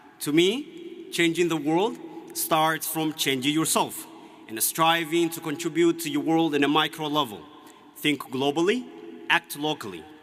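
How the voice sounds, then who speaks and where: There is noticeable background noise as a man speaks at a moderate pace with a fairly high pitch and ordinary pitch variation. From Ethiopia, Oromia. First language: Oromo. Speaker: graduating student speaker. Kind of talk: commencement speech. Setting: stage with audience. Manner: formal.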